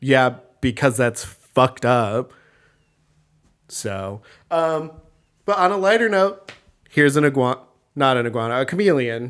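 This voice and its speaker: A man's medium-pitched voice with lively intonation and long, frequent pauses. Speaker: podcast co-host. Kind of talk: casual chat. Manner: loud; fast.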